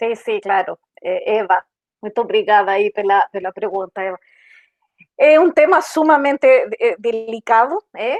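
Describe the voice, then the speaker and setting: Leaving long, frequent pauses, a woman speaks at a fairly slow pace. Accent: Chilean. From Chile. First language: Spanish (speaking Portuguese). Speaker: diversity and inclusion manager. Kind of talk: panel discussion. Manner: halting, many fillers.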